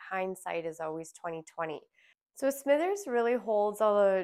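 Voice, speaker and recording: On a very clean recording with a silent background, a woman with a Canadian accent and a normal speaking voice talks at a fairly slow pace with ordinary pitch variation. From Alberta, Canada. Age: 30s. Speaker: podcast host, lifeguard instructor. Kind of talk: personal monologue. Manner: casual, conversational.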